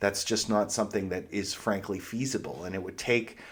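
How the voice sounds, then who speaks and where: A man with a slight Pittsburgh accent, fairly low pitch and fairly even intonation, on a very clean recording with a silent background. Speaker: history lecturer, podcast host. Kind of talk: lecture. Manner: conversational, with fillers and restarts.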